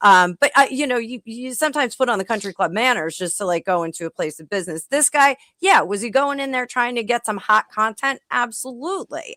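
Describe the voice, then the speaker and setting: With a New Jersey accent, a woman talks at a fairly quick pace with hardly any pauses, her high-pitched voice bright and sharp in tone, showing big swings in loudness over a dry, close sound with no echo. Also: lively intonation. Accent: New Jersey American. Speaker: panelist. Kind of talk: heated debate.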